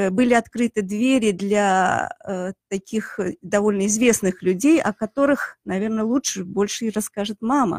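A woman's fairly high voice at a fairly slow pace, with ordinary pitch variation, dry sound with no echo and a quiet background. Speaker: chemist; radio guest, guest. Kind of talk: radio interview. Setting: studio. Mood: warm, reminiscing. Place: studio. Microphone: studio mic.

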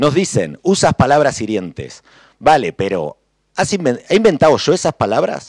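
With vocal fry and very wide pitch swings, a man talks in a dry sound with no echo. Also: quiet background. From Argentina, Buenos Aires. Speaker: cartoonist and humorist; panelist. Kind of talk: panel talk. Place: hall. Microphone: podium.

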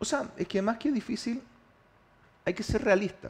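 This is a man speaking. He has a Chilean accent. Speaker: mayor-elect. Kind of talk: TV interview. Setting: TV studio.

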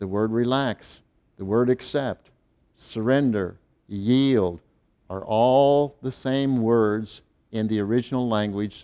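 Very slow in pace, the speech has a dark, mellow tone and fairly even intonation. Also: man. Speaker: faith healing preacher. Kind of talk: fervent healing prayer with commands. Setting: video channel, direct address to viewers. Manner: authoritative, commanding; fervent, urgent. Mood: calm, reassuring, earnest. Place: studio.

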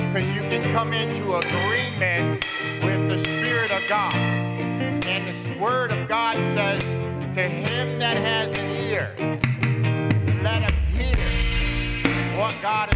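Loud music fills the background while the speech moves at a very slow pace. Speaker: preacher. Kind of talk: sermon exhortation. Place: church.

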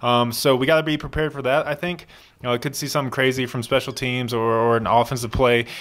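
Very rapid male speech with hushed surroundings. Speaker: podcast co-host. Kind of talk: casual sports chat. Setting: studio. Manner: animated. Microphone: studio mic.

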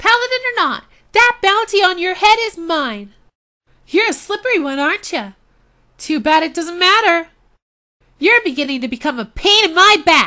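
In a put-on character voice of extremely high pitch, the speaker goes at a moderate pace with long, frequent pauses. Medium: voice reel. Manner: taunting.

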